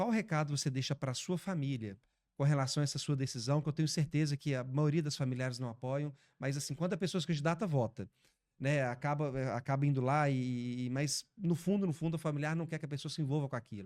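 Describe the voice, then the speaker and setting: A man with a normal speaking voice talks at a fairly quick pace and a fairly high pitch, with ordinary pitch variation, in a very clean recording with a silent background. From Brazil, Belo Horizonte (Minas Gerais). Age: 30s. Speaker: podcast host. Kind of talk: interview.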